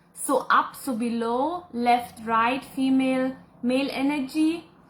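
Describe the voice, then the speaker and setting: A woman with a German accent speaks at a high pitch. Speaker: psychic and spiritual teacher. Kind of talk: live Q&A reading viewer comments. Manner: casual, chatty.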